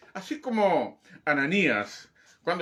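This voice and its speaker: A man speaks in a raised, projected voice with a bright, sharp tone. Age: 60s. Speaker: pastor. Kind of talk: sermon. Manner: emphatic, repetitive exhortation.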